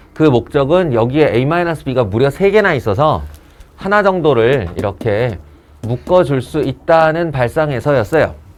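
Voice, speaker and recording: Music plays in the background as a man with a fairly high pitch speaks at a moderate pace. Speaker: math teacher. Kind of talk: lecture. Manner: casual.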